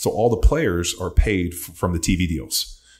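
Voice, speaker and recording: A man with an American accent speaks in a very deep, low pitch. His voice is somewhat breathy against a quiet background. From Southern California. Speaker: podcast guest. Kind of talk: casual chat. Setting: studio, in person. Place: studio. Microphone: studio mic.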